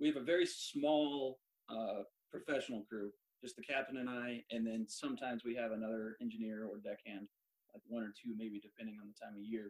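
In a normal speaking voice with an American accent, a man talks at a medium pitch and a fairly quick pace, with ordinary pitch variation and a dry, close sound with no echo. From Central Oregon, US. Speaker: sailing ship first mate, Navy veteran. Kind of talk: interview chat.

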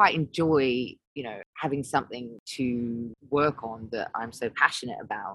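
This woman's voice is very deep and low in pitch. She talks at a fairly slow pace with hardly any pauses. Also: dry, close sound with no echo. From Australia. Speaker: DJ and music producer. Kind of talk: casual interview chat. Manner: casual, frequent fillers and laughs.

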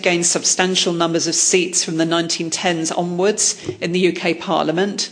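Noticeable background noise sits behind a woman speaking at a moderate pace with an English accent. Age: 40s. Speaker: historian. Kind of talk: lecture.

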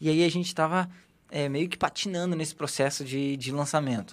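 In a very clean recording with a silent background, a man of fairly high pitch talks at a moderate pace with fairly even intonation. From Brazil, Rio Grande do Sul (Porto Alegre). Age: 20s. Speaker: digital marketing specialist. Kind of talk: casual interview.

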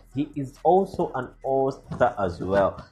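A somewhat breathy voice in a Ugandan accent, with very wide pitch swings. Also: man. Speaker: podcast and radio-style music host. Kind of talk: radio DJ patter between songs, greeting listeners and introducing tracks. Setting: recorded podcast/radio show, music played between talk. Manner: animated, hyped-up and enthusiastic, exclaiming over the next track.

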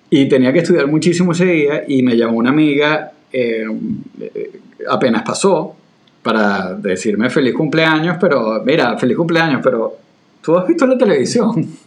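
Pitch swings very widely while loudness stays very even, at a moderate pace. Noticeable background noise runs underneath. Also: man, fairly high pitch for a man. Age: 40s. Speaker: podcast co-host. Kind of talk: casual conversational discussion.

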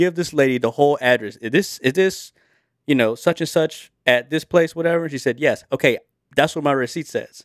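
Captured in a very clean recording with a silent background and a dry, close sound with no echo, a man uses a plain, everyday voice at a fairly quick pace with ordinary pitch variation. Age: 20s. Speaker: podcast co-host. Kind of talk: casual chat among friends.

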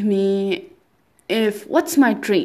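A woman speaks with a non-native accent and a fairly high voice. Her pace is very slow. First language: not English. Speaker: language learner podcaster. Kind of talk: personal monologue. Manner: halting, with repetitions.

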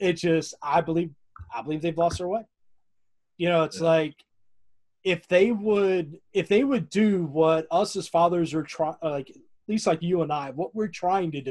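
With a Southern US accent, a man speaks at a high pitch and a moderate pace, showing ordinary pitch variation and taking long, frequent pauses. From US South (north Florida, near Tallahassee). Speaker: podcast host. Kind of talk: casual interview chat.

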